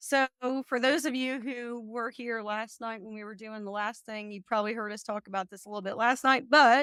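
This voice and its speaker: In a Kentucky accent, a woman talks fairly fast with a fairly high voice. Her loudness swings widely, and the sound is dry and close with no echo. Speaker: real estate exam tutor. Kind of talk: live study session. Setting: live webinar.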